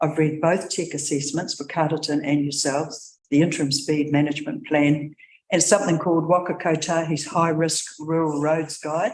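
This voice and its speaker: The speaker has a New Zealand accent. There are hardly any pauses. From New Zealand, Wairarapa. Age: 70s. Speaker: submitter at council hearing, retired education worker. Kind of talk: public submission read from notes. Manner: fast.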